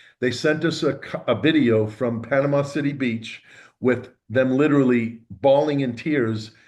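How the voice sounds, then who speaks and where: This man has an ordinary speaking voice at a medium pitch. He talks at a moderate pace with fairly even intonation. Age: 60s. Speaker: stem cell therapy practitioner. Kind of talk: interview.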